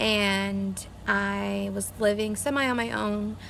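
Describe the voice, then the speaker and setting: A woman's voice carries audible room echo. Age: 20s. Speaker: vlogger. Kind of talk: casual vlog. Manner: slurred speech.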